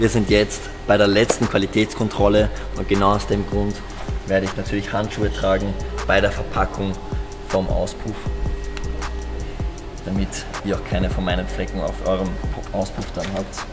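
The speech moves at a moderate pace with long, frequent pauses, and clear music plays in the background. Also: man. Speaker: guest. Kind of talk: casual vlog chat. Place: factory.

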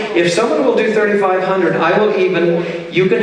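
A man's high voice with ordinary pitch variation, strong room echo, and light background noise. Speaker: charity auctioneer and pianist. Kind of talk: charity fundraising auction patter. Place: hall. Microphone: pa.

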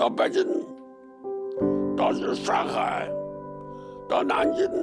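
Loud music plays in the background as a man talks at a very slow pace. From Anhui, China. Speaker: retired army general. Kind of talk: interview answer. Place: home room. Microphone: lapel.

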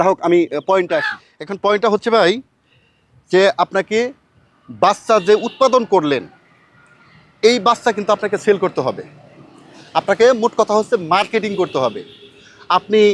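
The sound is dry and close, with no echo. A man speaks at a high pitch with ordinary pitch variation. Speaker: poultry farmer and farming YouTuber. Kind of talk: tutorial.

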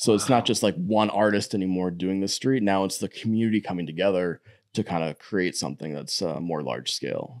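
A man with a Wisconsin accent talks at a very fast pace in a very deep, low pitch with ordinary pitch variation, in a very clean recording with a silent background. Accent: Upper Midwest (Wisconsin). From Wisconsin, Door County. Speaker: artist and muralist. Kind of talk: interview.

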